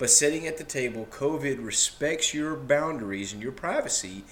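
A man at a medium pitch and moderate pace, lively intonation, noticeable background noise. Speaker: podcast co-host. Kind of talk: casual chat. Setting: at home, recording at a table.

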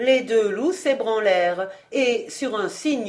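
With lively intonation, someone reads aloud in a natural voice.

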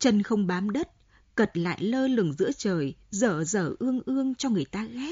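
Lively intonation in an unforced read-aloud voice

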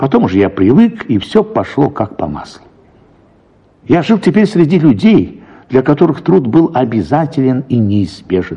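In a dark, mellow tone with a slightly husky edge, a man of medium pitch speaks at a moderate pace with big pitch swings.

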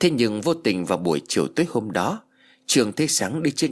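What we hear is plain reading aloud.

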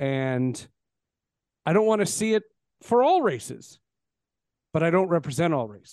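Speaking at a moderate pace with an American accent, a man uses a fairly high pitch with very wide swings and leaves long, frequent pauses. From New Jersey. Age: 40s. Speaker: podcast host, sports broadcaster. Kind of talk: casual chat.

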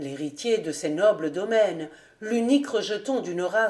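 A natural reading voice with lively intonation

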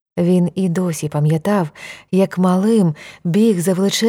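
Reading in an unforced voice

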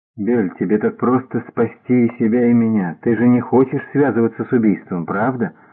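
The intonation is fairly level. A natural voice reads the passage.

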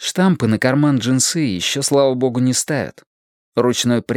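Someone reads aloud in a natural voice. The intonation stays fairly even over a quiet background.

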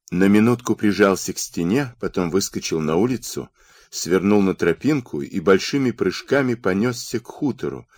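This is a natural reading voice with lively intonation.

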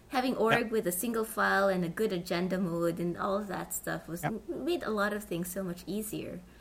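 Talking at a fairly quick pace with hardly any pauses, a woman has a medium pitch. Her pitch varies in an ordinary way, and there is noticeable background noise. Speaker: podcast host. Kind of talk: casual interview chat.

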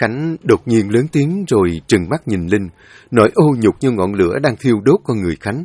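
Lively intonation in an unforced reading voice

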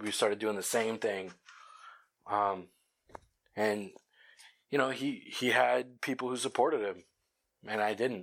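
On a very clean recording with a silent background, the speech moves at a fairly slow pace with long, frequent pauses and ordinary pitch variation. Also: man, fairly low pitch for a man. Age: 20s. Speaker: podcast host, janitor. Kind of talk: solo monologue. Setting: at work while cleaning. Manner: halting, many fillers.

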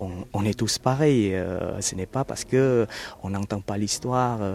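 A man with a Vietnamese accent speaks very slowly. His fairly low voice shows ordinary pitch variation. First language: Vietnamese (speaking French). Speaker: Vietnamese immigrant. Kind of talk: interview. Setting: outdoors in a garden. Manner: halting.

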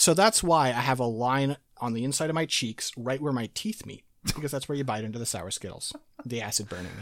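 A man with an unremarkable speaking voice talks at a fairly quick pace and a medium pitch with lively intonation, on a very clean recording with a silent background. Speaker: podcast host. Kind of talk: casual chat.

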